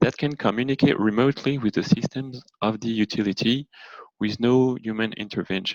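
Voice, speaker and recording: A man in a French accent at medium pitch and a moderate pace, with fairly even intonation and a dry, close sound with no echo. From France. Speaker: energy consultant. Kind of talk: presentation. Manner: halting, with fillers.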